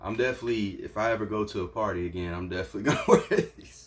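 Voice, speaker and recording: This man talks at a very fast pace, his pitch fairly low and his voice somewhat breathy. His loudness swings widely from moment to moment. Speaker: entrepreneur and YouTuber. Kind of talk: unboxing video. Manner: stuttering; animated.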